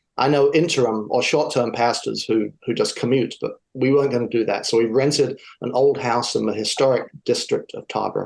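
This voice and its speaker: The speaker is a man with an English accent. He talks at a fairly quick pace. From southern England. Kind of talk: interview.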